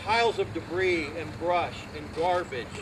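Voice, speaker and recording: Noticeable background noise fills the clip. The voice carries an American accent. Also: man. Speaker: community volunteer. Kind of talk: speech at a public ceremony. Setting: outdoors with audience. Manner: loud; animated.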